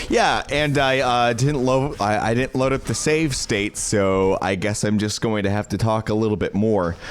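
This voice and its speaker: A man at medium pitch and a moderate pace, with ordinary pitch variation, very even loudness, hardly any pauses, and noticeable background noise. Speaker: streamer. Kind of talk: casual live-stream chat. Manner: slurred; halting.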